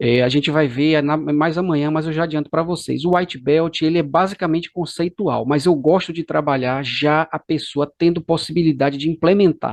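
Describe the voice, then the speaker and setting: With a Bahian accent, a man speaks at a moderate pace with hardly any pauses, his fairly high voice held to fairly even intonation. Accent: Bahian Brazilian Portuguese. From Brazil, Bahia (Salvador). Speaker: course instructor. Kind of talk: lecture.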